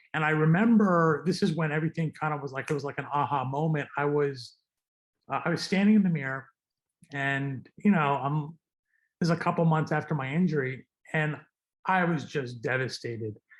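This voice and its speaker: At a fairly quick pace broken by long, frequent pauses, a man with a fairly high, somewhat breathy voice speaks with ordinary pitch variation. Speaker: trauma surgeon and advocate. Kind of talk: interview.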